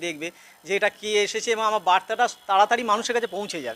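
A man with a high voice talks in a raised, projected way, his intonation fairly even and the sound dry and close with no echo. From West Bengal, Hooghly district. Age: 50s. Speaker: primary school headmaster and awareness campaigner. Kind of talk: street interview.

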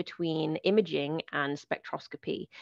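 A woman speaks with ordinary pitch variation. The sound is dry with no echo, and the background is quiet. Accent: British. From United Kingdom. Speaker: planetary scientist. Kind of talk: lecture. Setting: video call.

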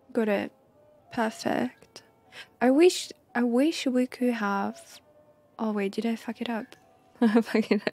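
Soft-spoken and fairly high-pitched, a woman speaks very slowly with long, frequent pauses and ordinary pitch variation. Faint music plays in the background, and the sound is dry with no echo. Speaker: streamer; game streamer. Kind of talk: live gameplay commentary. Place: home room. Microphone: studio mic.

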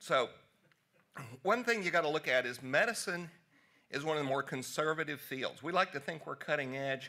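Against a quiet background, a man with a Southern US accent speaks at a moderate pace in a fairly high pitch, his bright, sharp tone showing ordinary pitch variation and long, frequent pauses. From US South, Tennessee. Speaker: physician; presenter. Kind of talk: conference talk. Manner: casual. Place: hall.

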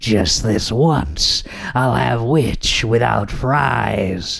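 A man does a raspy put-on character voice at medium pitch and a very slow pace. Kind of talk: storybook narration. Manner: gloating, menacing.

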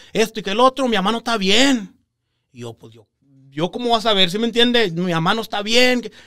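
A man's raised, projected voice, high-pitched with a bright, sharp tone, at a fairly quick pace, with ordinary pitch variation, big swings in loudness and a quiet background. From US, Texas Rio Grande Valley; Texas. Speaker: real estate investor; podcast guest. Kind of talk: interview storytelling. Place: studio. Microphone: studio mic.

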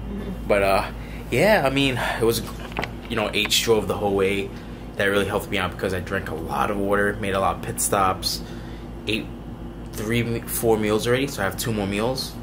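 A man speaks at a fairly low pitch against noticeable background noise. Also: fairly quick pace. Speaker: fitness competitor vlogger. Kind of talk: casual vlog chat. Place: home room. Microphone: phone near.

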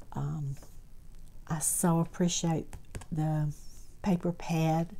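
A woman's fairly low voice, dark and mellow in tone, with a Southern US accent. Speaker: crafting YouTuber. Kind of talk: craft haul show-and-tell.

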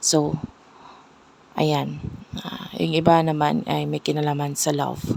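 Speaking at a fairly slow pace, a woman leaves long, frequent pauses. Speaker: tarot reader. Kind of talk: tarot reading video. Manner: loud.

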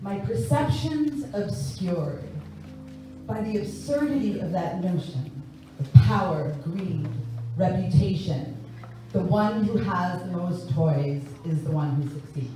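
In strong room echo with light background noise, a woman with an American accent and a very deep, low pitch speaks at a fairly slow pace, her intonation lively and her pauses long and frequent. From New York. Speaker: singer and spoken word performer. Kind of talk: spoken word poetry performance. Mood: reflective, earnest. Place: church.

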